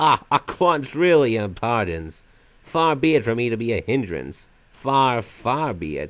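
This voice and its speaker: A man in a put-on character voice talks at a fairly slow pace and a medium pitch. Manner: sometimes silly, sometimes sinister; theatrical, mocking, playful.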